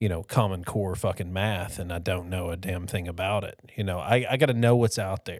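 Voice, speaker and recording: Recorded very cleanly over a silent background, an ordinary speaking voice moves at a moderate pace with ordinary pitch variation. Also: man. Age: 40s. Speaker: podcast co-host. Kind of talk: casual chat.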